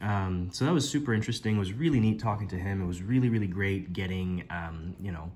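A man talks at a very fast pace, fairly low in pitch and somewhat breathy, with ordinary pitch variation. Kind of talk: casual vlog chat. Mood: enthusiastic, amused. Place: home room. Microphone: phone near.

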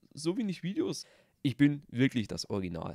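A man talks at a moderate pace with a dark, mellow tone. The very clean recording has a silent background and a dry, close sound with no echo. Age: 20s. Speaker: gaming YouTuber. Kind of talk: channel intro vlog. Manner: casual.

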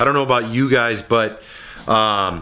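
Moderate pace from a man speaking. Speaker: vlogger. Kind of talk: casual vlog chat. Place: garage. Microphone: lapel.

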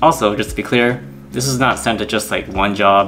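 With faint music in the background, a man talks at a moderate pace with ordinary pitch variation. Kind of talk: casual vlog chat. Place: home room.

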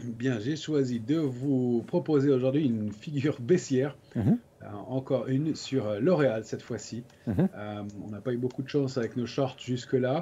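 A man speaks in a somewhat breathy voice with a dark, mellow tone. His pitch varies in an ordinary way. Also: fairly slow pace. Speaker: guest. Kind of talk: technical market commentary. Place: home room. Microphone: video call.

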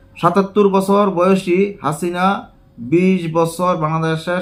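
A man speaks in a high voice. The rise and fall of his pitch is fairly even. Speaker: news commentator. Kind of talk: news reading.

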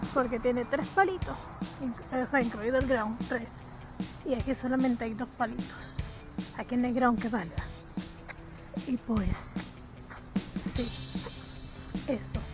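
A woman at a fairly slow pace with long, frequent pauses and ordinary pitch variation, dry sound with no echo, and clear music in the background. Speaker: vlogger. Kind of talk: casual vlog chat. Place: street. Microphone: phone near.

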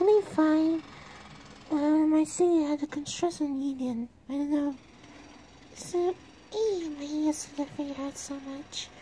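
Cheerful and high-pitched, a female-sounding put-on character voice moves at a moderate pace with long, frequent pauses. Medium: machinima. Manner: polite, cheerful.

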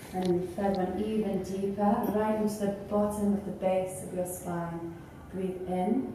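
A woman speaks in a monotone, flat intonation at a fairly slow pace. Strong room echo and light background noise surround her voice. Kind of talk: guided breathing instructions. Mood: calm, soothing. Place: empty room. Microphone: camera far.

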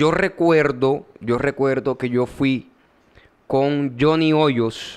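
A man speaks with a Colombian Caribbean accent and ordinary pitch variation. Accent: Colombian Caribbean (costeño) Spanish. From Colombian Caribbean coast, Córdoba. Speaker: podcast host. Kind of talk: casual chat. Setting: studio.

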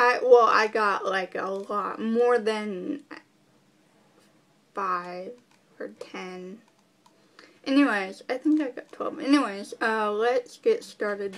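Pausing long and often, a woman talks at a very slow pace with big swings in loudness. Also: ordinary pitch variation. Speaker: vlogger. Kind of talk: casual Q&A talk to camera. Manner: hesitant, many fillers. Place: home room. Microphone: webcam.

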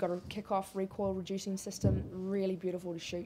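Against light background noise, a woman talks at a fairly quick pace in a dark, mellow tone. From New Zealand. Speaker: shooting sports retailer and clay target shooter. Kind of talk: interview. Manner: animated. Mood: relaxed, enthusiastic. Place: shop.

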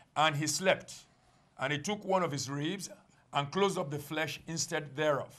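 A man with a fairly high pitch and an unremarkable speaking voice talks at a moderate pace with fairly even intonation. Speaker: congregation member reading scripture. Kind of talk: reading aloud scripture. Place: studio.

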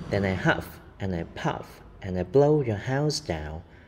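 A growling put-on character voice from a man, fairly low in pitch, at a moderate pace over clear background noise. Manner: growling, menacing.

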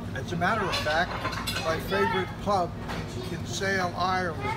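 Crowd noise fills the background. The speech moves at a moderate pace. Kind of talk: interview answer. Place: cafe. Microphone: phone near.

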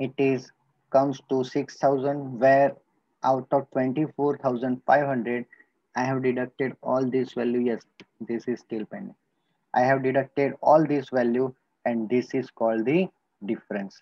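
A man speaks at a fairly slow pace with an Indian accent, leaving long, frequent pauses. The sound is dry with no echo against a quiet background. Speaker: school teacher. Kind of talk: lecture. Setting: recorded video lesson.

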